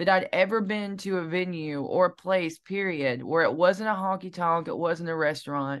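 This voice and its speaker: With a Southern US accent, a woman speaks at a fairly low pitch with ordinary pitch variation. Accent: Southern twang. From US South, Alabama (Piedmont). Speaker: singer-songwriter. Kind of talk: interview.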